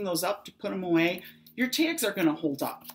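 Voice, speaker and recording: Fairly quick delivery with very wide pitch swings. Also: woman. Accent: Chicago. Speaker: craft demonstrator. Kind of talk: tutorial.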